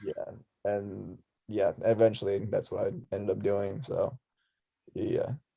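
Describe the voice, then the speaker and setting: A man at a fairly slow pace, broken by long, frequent pauses. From Russia, moved to Tucson, Arizona at six. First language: Russian. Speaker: musician and clothing designer. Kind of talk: casual chat. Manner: casual, filler-heavy.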